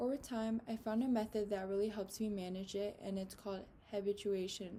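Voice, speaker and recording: Speaking at a fairly quick pace, a woman has a somewhat breathy, dark, mellow tone at a fairly high pitch. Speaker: student. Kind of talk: class speech. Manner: nervous, shaky voice when presenting.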